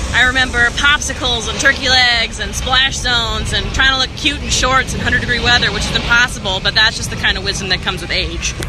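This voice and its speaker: Over noticeable background noise, a woman talks at a very fast pace with hardly any pauses. Her voice is high-pitched, in a Texas accent. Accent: Texas twang. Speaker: travel show host. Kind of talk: travel vlog presenting. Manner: animated.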